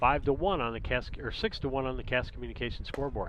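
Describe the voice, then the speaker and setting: A man speaks in an unremarkable speaking voice, medium in pitch, with lively intonation. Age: 60s. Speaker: sports commentator. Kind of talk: live commentary.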